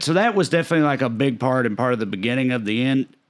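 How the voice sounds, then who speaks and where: Speaking very fast with lively intonation, a man holds a medium pitch in a Southern US accent. The recording is very clean with a silent background. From Tennessee. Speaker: stand-up comedian. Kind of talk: podcast interview answer. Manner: casual, conversational.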